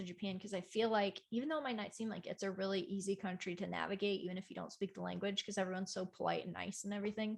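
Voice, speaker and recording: Soft-spoken and with fairly even intonation, a woman talks in an American accent. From United States. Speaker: cosplayer and libertarian YouTuber. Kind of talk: casual podcast interview.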